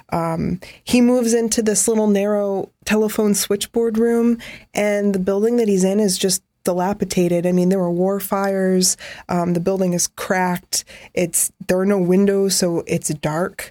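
Dark and mellow in tone, a woman speaks at a moderate pace with very even loudness. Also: medium pitch for a woman, fairly even intonation, very clean recording, silent background. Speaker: photography podcast co-host. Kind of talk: casual conversational podcast.

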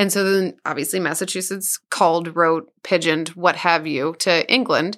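A woman with an American accent speaks at a moderate pace and a fairly low pitch. It is an unremarkable speaking voice, with fairly even intonation. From Southeast Missouri. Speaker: podcast co-host. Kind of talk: casual chat.

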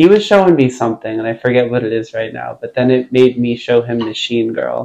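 An unremarkable speaking voice in an American accent, its pitch moving in a normal way. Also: man. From Long Island, New York. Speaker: musician. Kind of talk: casual chat.

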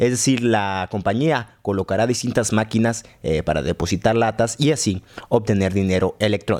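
With hardly any pauses, a man talks at a moderate pace and fairly low pitch, keeping his loudness very even and his pitch variation ordinary. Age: 20s. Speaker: podcast news host. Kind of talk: news reading. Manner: halting.

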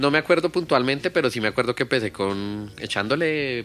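A man at medium pitch with ordinary pitch variation, talking at a fairly quick pace over background music. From Bogotá, Colombia (Kennedy). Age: 30s. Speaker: rapper. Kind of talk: casual chat.

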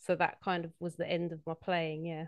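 A woman with a South East London accent speaks in a fairly low pitch. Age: 30s. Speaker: football coach and scout. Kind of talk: casual chat.

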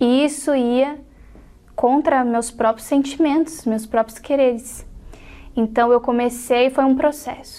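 This woman's tone is dark and mellow. Her intonation is fairly even. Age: 20s. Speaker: church member. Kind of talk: testimony.

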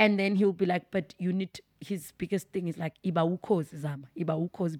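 A woman with an unremarkable speaking voice talks at a moderate pace and a medium pitch with ordinary pitch variation, the sound dry and close with no echo on a very clean recording with a silent background. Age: 30s. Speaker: speech therapist and pastor. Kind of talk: casual interview.

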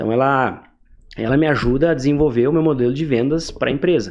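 A man at medium pitch and a fairly quick pace, a normal speaking voice. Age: 20s. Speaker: entrepreneur, growth hacking specialist. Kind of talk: casual interview.

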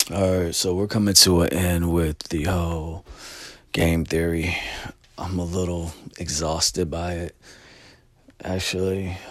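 A man speaks at a very deep, low pitch in a monotone, flat delivery. His pace is fairly slow, with long, frequent pauses. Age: 40s. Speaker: vlogger and music/video producer. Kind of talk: casual monologue vlog.

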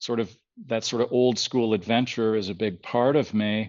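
This man has an unremarkable speaking voice at medium pitch. He talks at a fairly slow pace against a quiet background. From Ontario, Canada (outside Toronto). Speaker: conceptual artist and photographer. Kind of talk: casual interview chat.

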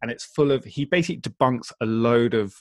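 A man with an English accent is heard with a dry, close sound and no echo. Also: very clean recording, silent background. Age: 40s. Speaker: community builder and entrepreneur. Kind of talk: interview conversation.

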